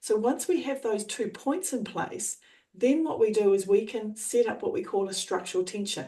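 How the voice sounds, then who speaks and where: Somewhat breathy and dark, mellow in tone, this voice with an Australian accent moves at a moderate pace with lively intonation. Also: woman, fairly high pitch for a woman. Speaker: trainer and coach. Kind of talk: coaching explanation.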